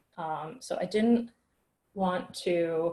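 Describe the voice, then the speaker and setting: A woman's medium-pitched voice comes through somewhat breathy. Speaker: workshop instructor. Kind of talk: tutorial.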